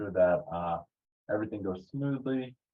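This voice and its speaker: A man with an ordinary speaking voice, fairly low pitch, ordinary pitch variation and a fairly quick pace. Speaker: outreach manager. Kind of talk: webinar host introduction.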